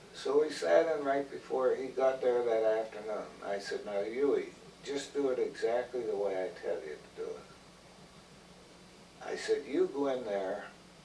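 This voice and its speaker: Against noticeable background noise, a man talks at a moderate pace. His speech has long, frequent pauses. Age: 80s+. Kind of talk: interview answer.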